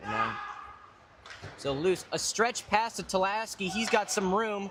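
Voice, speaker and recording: A man speaks over noticeable background noise. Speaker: hockey play-by-play commentator. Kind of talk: live commentary. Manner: loud.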